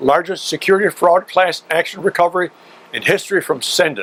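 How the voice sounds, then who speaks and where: A high-pitched man's voice at a fairly quick pace, with ordinary pitch variation and a dry, close sound with no echo. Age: 80s+. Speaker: consumer activist. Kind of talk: prepared statement.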